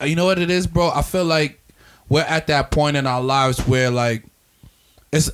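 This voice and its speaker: Speaking at a moderate pace, a man uses a fairly high pitch. His pitch varies in an ordinary way. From Staten Island, New York. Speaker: podcast host. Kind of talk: casual chat. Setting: livestream podcast.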